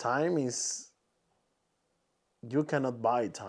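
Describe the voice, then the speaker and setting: A man with a Spanish accent talks at a very slow pace with ordinary pitch variation in a very clean recording with a silent background. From Peru. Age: 20s. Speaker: podcaster and content creator. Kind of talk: casual monologue podcast. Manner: halting, many restarts and fillers.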